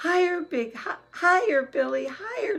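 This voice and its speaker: A squeaky put-on character voice at an extremely high pitch and a moderate pace. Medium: read story. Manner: excitable.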